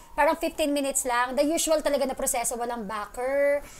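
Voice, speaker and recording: Over noticeable background noise, a woman with a high pitch talks at a very fast pace, her pitch varying in an ordinary way. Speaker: radio DJ. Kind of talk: interview.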